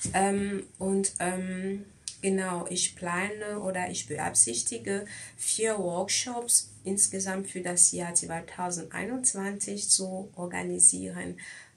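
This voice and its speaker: Light background noise sits behind a woman speaking. Her pace is very slow, with ordinary pitch variation. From Cameroon. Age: 20s. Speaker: beauty pageant contestant. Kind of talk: candidate self-presentation video. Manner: halting, many fillers.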